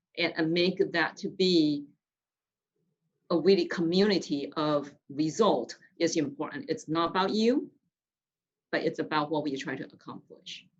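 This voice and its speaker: The speech moves at a fairly slow pace with long, frequent pauses. Pitch varies in an ordinary way. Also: woman, fairly low pitch for a woman. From outside the US, immigrant. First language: not English. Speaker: business leader, guest speaker. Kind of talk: panel interview. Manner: halting, many fillers and restarts.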